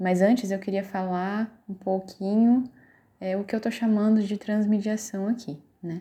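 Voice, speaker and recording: On a very clean recording with a silent background, a woman's somewhat breathy voice has a medium pitch and a dark, mellow tone. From Brazil, São Paulo interior (Vale do Paraíba). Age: 30s. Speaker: teacher. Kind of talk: course project presentation.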